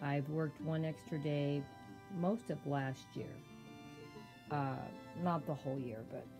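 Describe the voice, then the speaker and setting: Music plays in the background as a woman with a very deep, low pitch talks at a fairly slow pace, leaving long, frequent pauses. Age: 70s. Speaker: savings vlogger. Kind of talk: casual talk to camera.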